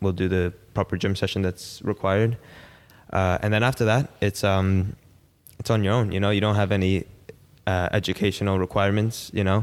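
A man with an American accent, fairly low in pitch and fairly quick, flat and monotone, with very even loudness on a very clean recording with a silent background. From US Northeast, Long Island, New York. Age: 20s. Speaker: professional footballer. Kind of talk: casual interview.

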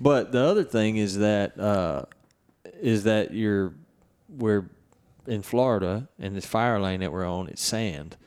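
A man with a Southern US accent speaks fairly slowly at a fairly low pitch. His pitch varies in an ordinary way, with long, frequent pauses. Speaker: podcast host and turkey hunter. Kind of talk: podcast intro and outro, casual chat. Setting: on location at a ranch. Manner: animated, talks with hands.

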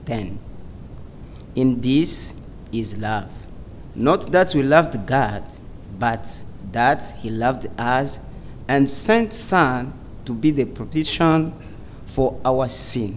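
A man with a medium pitch and lively intonation speaks at a very slow pace. He leaves long, frequent pauses. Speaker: church member reading scripture and praying. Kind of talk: scripture reading and prayer. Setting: church with audience.

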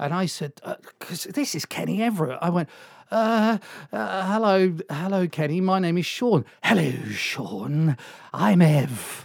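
Speaking with a South Welsh accent, a man talks at a fairly slow pace in a high pitch with lively intonation. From South Wales, Swansea. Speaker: radio DJ. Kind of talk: casual chat.

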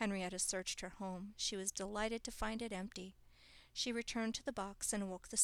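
Reading aloud in a natural voice, intonation fairly even

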